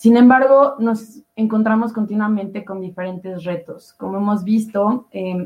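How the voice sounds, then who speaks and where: A woman's somewhat breathy, medium-pitched voice at a fairly slow pace, with fairly even intonation. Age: young. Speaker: panel moderator. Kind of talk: panel moderation.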